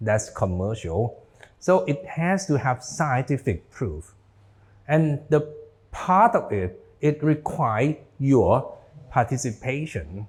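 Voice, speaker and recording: Speaking very slowly, a man leaves long, frequent pauses. His fairly high pitch swings very widely, with vocal fry. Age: 60s. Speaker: doctor. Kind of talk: lecture.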